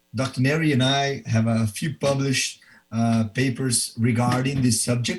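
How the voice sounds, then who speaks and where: A man with a Brazilian Portuguese accent speaks at a moderate pace and medium pitch, his voice somewhat breathy, with fairly even intonation and very even loudness. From Brazil, Belo Horizonte. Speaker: professor and orthopedic surgeon. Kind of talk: presentation.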